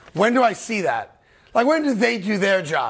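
Against a quiet background, a man speaks at a moderate pace with a high pitch and ordinary pitch variation. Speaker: talk show host. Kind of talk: sports commentary. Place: studio. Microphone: lapel.

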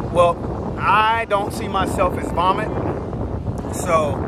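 A man talks at a very slow pace. The sound is dry with no echo, but loud background noise is present. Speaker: kayak fishing vlogger. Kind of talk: casual vlog chat, devotional talk. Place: boat. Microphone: phone near.

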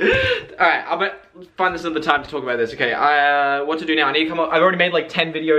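The speaker is a man. He talks in an Australian accent. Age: young. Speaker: TikTok creator and vlogger. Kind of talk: casual talk to camera. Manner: upbeat. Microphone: phone near.

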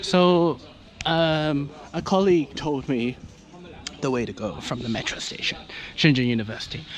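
At a moderate pace, a man speaks with ordinary pitch variation in a dry sound with no echo over light background noise. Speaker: vlogger going to a Chinese exam. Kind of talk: casual vlog chat. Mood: mildly exasperated, amused. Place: street. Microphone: phone near.

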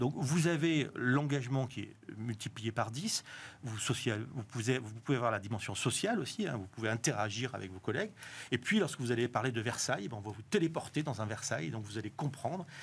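Somewhat breathy, a man talks at a fairly quick pace with lively intonation. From southwest France. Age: 50s. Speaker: tech company co-founder and author; guest. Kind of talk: TV interview. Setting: TV studio. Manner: halting, with repetitions. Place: studio. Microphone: lapel.

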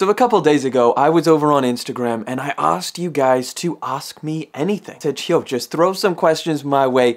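Against a quiet background, a man talks at a moderate pace with ordinary pitch variation and hardly any pauses. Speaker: video creator. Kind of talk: casual vlog chat. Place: home room.

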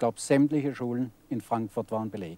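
A man speaks in a dark, mellow tone at a fairly slow pace with ordinary pitch variation. The sound is dry, with no echo. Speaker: elderly club member, witness. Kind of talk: interview recollection. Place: garden.

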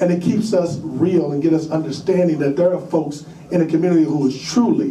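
A man at a moderate pace, with audible room echo and light background noise. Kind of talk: public testimony. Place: meeting room.

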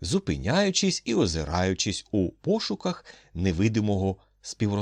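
This is plain reading aloud. It stays that way throughout.

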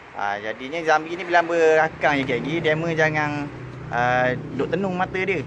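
Fairly high in pitch, a man speaks at a moderate pace with ordinary pitch variation. Noticeable background noise can be heard. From Terengganu, Malaysia. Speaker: vlogger. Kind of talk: travel vlog. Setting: outdoors. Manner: casual.

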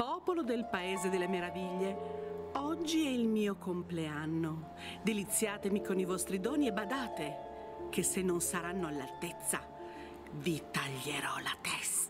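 Loud music plays behind a put-on character voice at a middle pitch. The delivery moves at a fairly slow pace. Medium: stage. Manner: bossy, shouting.

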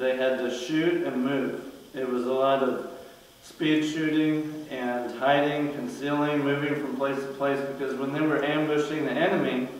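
In a room with strong echo, a man speaks at a moderate pace with monotone, flat intonation. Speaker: martial arts instructor. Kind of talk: tutorial. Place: garage.

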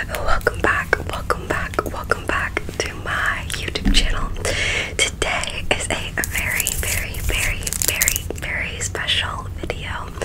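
A woman whispers. Her pace is fairly slow. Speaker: ASMR creator. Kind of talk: ASMR barbershop roleplay. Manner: soft-spoken, friendly, relaxing.

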